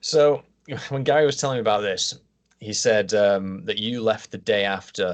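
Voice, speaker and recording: Speaking at a moderate pace with a northern English accent, a man keeps a medium pitch and ordinary pitch variation. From Yorkshire. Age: 30s. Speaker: podcast host. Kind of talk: interview.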